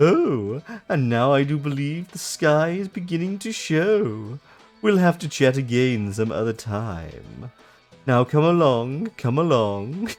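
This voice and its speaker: A man's put-on character voice, theatrical and pompous, fairly high-pitched and fairly slow, with faint music in the background. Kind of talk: camp villain voice. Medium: game stream. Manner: theatrical, pompous.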